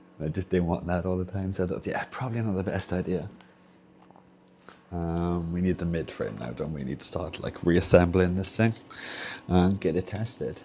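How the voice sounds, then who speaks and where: With a Welsh accent, a man speaks in a very deep, low, dark and mellow voice, with ordinary pitch variation and long, frequent pauses. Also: moderate pace. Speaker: streamer doing a hardware repair.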